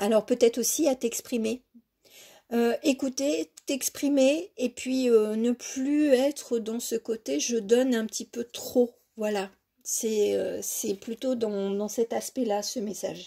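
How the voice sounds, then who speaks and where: Very slowly, a woman speaks in a fairly high voice with a dark, mellow tone, ordinary pitch variation and big swings in loudness. The recording is very clean, with a silent background and a dry, close sound with no echo. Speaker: tarot card reader. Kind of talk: tarot reading. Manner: halting, many hesitations.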